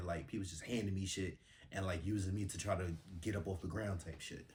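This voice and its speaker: A man with a very deep, low pitch talks in an American accent. His voice is somewhat breathy, with fairly even intonation. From Bronx, New York. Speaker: musician and model. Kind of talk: casual interview chat. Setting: studio. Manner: casual, many fillers.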